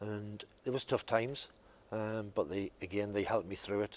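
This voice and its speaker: This is a man talking. He keeps a moderate pace. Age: 50s. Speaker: former patient. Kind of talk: testimony. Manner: halting, many fillers.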